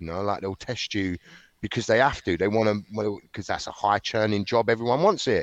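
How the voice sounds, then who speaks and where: Against a quiet background, a man talks in a South London accent, the sound dry and close with no echo. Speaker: former criminal turned author. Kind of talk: interview.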